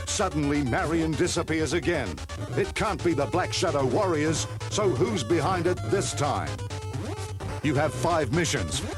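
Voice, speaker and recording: With music in the background, a man talks at a fairly slow pace. His voice sits fairly high and makes very wide pitch swings. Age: old. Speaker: voice actor. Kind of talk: promotional video game preview narration. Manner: trying to sound cool.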